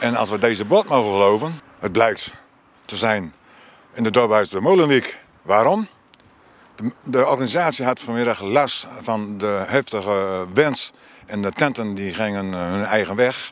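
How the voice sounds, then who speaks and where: A man talks at a fairly slow pace, with long, frequent pauses. His voice is fairly low with ordinary pitch variation, and the sound is dry with no echo. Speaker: local reporter. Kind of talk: on-location report. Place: street. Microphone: handheld.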